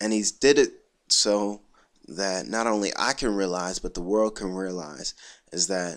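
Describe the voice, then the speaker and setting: On a very clean recording with a silent background, a man speaks in a normal speaking voice at a fairly slow pace with a fairly low pitch. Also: ordinary pitch variation. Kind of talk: casual talk to camera.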